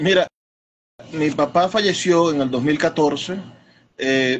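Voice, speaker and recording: An ordinary speaking voice from a man, fairly even in intonation, comes at a fairly slow pace. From Venezuela, Zulia (Maracaibo). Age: 30s. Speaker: poet and bookseller. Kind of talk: interview.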